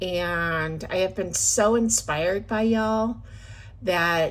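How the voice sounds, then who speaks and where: A woman speaks with lively intonation. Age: 50s. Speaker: budgeting vlogger. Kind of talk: casual chat. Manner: hesitant with filler words.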